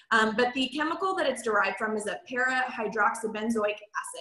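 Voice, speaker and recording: Noticeable background noise sits behind a woman's fairly high voice. Her pitch varies in an ordinary way. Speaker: hairstylist and product trainer. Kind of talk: training webinar. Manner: fast; casual, filler-heavy.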